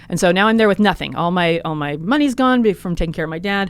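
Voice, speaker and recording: Her intonation lively and her pitch medium, a woman talks at a very fast pace. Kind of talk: casual chat. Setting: studio.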